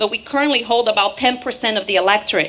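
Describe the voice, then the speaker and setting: Against noticeable background noise, the speaker has a Portuguese accent and ordinary pitch variation. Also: woman. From Brazil, Rio de Janeiro. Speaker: political activist. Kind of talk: political rally speech. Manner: animated.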